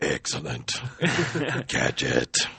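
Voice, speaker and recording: In a raspy, put-on character voice, a man performs his lines. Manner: menacing, villainous.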